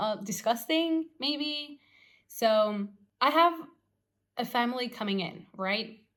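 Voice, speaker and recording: A woman with a non-native accent speaks at a very slow pace, her intonation lively. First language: not English. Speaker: former tattoo artist, vlogger. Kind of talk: casual storytelling vlog. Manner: halting, lots of fillers.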